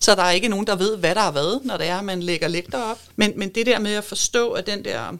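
A woman talks in an ordinary speaking voice with ordinary pitch variation. The recording is very clean, with a silent background. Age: 50s. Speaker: architect and sustainability advisor. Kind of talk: interview conversation. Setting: studio.

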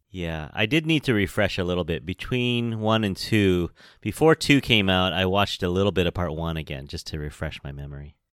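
A man's very deep, low voice with a West Coast American accent, lively intonation, a fairly quick pace and hardly any pauses, on a very clean recording with a silent background. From San Francisco, California. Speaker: podcast host. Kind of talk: casual chat.

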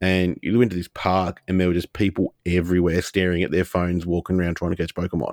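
In an Australian accent, a man talks very fast with a very deep, low pitch and hardly any pauses, his intonation monotone and flat. The recording is very clean with a silent background, dry and close with no echo. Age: 30s. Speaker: podcast co-host. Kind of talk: casual chat.

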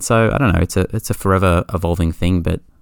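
A man with a very deep, low pitch talks at a very fast pace. His pitch variation is ordinary. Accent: Australian. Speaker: podcast guest, pinball player. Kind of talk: casual chat.

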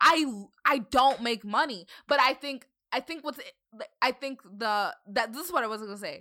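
Speaking at a moderate pace with an American accent, a woman uses a raised, projected, high voice with a bright, sharp tone, lively intonation and big swings in loudness. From Northern Virginia, US. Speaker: content creator. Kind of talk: casual chat.

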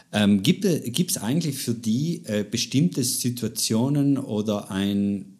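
A man's medium-pitched voice in a South Tyrolean accent, very slow and lively in intonation, on a very clean recording with a silent background. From South Tyrol, Italy. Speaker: podcast host. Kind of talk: interview. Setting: living room.

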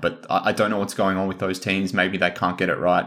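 A man with an Australian accent talks fairly quickly in a fairly low voice. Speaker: sports podcast co-host. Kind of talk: casual chat.

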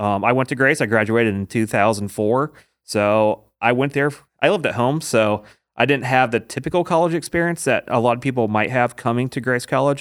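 A man's medium-pitched voice at a fairly quick pace, with ordinary pitch variation, in a very clean recording with a silent background. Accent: Midwestern American. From Indiana, US Midwest. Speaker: small business district manager. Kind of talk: casual interview. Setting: studio.

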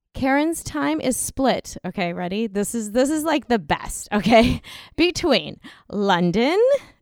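This voice has a General American accent and very wide pitch swings. It speaks at a fairly slow pace. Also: woman, fairly high pitch for a woman. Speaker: podcast co-host and author. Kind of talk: casual interview chat.

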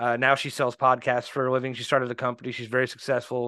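A bright, sharp, medium-pitched man's voice with a Midwestern US accent. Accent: US Midwest. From Indianapolis, Indiana. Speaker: business owner. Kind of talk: interview.

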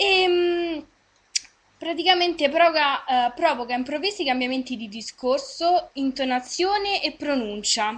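The pace is fairly slow. Intonation stays lively throughout. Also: woman, high pitch for a woman. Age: 20s. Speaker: web radio host. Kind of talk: casual chat. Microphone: unstable connection.

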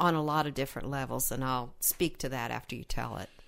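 A woman talks on a very clean recording against a silent background. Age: 70s. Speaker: relationship podcast co-host, retired library director. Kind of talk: casual chat.

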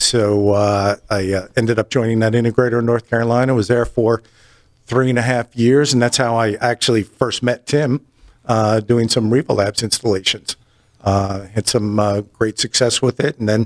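A man with a slight East Coast accent speaks at medium pitch and a moderate pace. His loudness stays very even, and the sound is dry and close with no echo. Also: fairly even intonation. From New Jersey. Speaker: audio industry sales representative. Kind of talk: casual interview.

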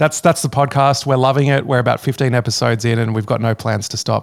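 Speaking at a very fast pace with fairly even intonation, a man with an Australian accent comes through on a very clean recording with a silent background. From Sydney, Australia. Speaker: former pastor and teacher, podcaster. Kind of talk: interview.

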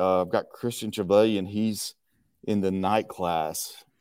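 With a Texan accent, a man speaks at a fairly slow pace in a fairly low pitch. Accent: Southern US, Texan. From Texas. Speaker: martial arts instructor. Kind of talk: casual interview chat. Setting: video call.

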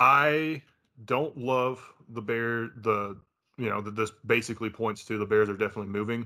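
A man speaks fairly quickly at a medium pitch with a bright, sharp tone. The recording is very clean, with a silent background. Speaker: football podcast host. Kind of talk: casual banter, sports podcast.

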